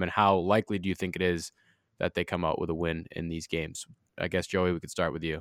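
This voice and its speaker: A man at a very fast pace on a very clean recording, the background silent and the sound dry and close with no echo. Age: 20s. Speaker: college radio sports podcast host. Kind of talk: casual sports chat.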